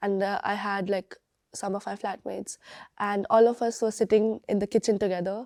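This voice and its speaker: Fairly quick speech from a woman in a Bengali accent, medium-pitched with a dark, mellow tone and monotone, flat intonation, on a very clean recording with a silent background. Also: dry, close sound with no echo. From India, Bangalore. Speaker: university student. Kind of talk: interview testimony. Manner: halting, many fillers and restarts.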